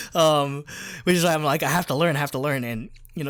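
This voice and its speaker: With a New Jersey accent, a man talks at a very fast pace with ordinary pitch variation on a very clean recording with a silent background. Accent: American (New Jersey). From New Jersey, US. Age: 20s. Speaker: podcast co-host. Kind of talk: casual chat. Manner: fast, filler-heavy.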